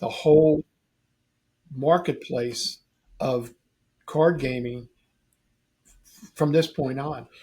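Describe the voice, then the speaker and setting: Somewhat breathy, a man's fairly high voice carries a dark, mellow tone and ordinary pitch variation. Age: 70s. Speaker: game store owner. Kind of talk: casual chat.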